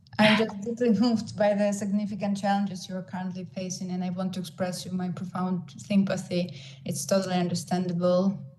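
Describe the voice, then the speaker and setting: With a Ukrainian accent, a woman talks at a fairly quick pace in a somewhat breathy voice of medium pitch and fairly even intonation, with audible room echo. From Ukraine. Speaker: social worker. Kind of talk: online panel presentation.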